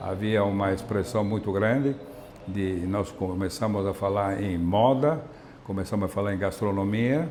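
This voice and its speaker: A man with an Italian accent at a fairly low pitch and fairly slow pace, over noticeable background noise. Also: ordinary pitch variation. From Emilia-Romagna, Italy (Salsomaggiore, Parma province). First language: Italian (speaking Portuguese). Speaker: Italian immigrant community member. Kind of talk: interview testimony. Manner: halting, many repetitions and fillers.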